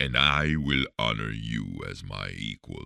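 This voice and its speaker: A put-on character voice from a man, very deep and low, at a fairly slow pace. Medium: read story. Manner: respectful, gentle.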